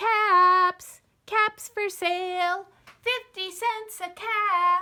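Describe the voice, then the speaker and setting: A woman does a squeaky put-on character voice, extremely high in pitch, monotone and flat, at a very slow pace. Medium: read story. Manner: calling out, scolding.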